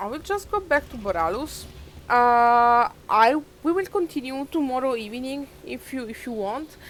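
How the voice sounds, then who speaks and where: Speaking with a non-native accent, a woman uses a high pitch with very wide pitch swings, big swings in loudness and a moderate pace. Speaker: video game streamer. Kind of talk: live gameplay commentary. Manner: halting, many fillers.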